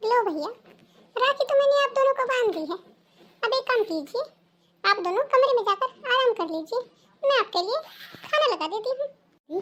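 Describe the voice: A woman does a cartoonish character voice at an extremely high pitch, with lively intonation, a moderate pace, and long, frequent pauses.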